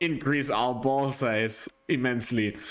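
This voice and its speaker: The recording is very clean with a silent background. A man at medium pitch speaks at a very slow pace with fairly even intonation. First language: not English. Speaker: sim racing livestream commentator. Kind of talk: live commentary. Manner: casual, halting.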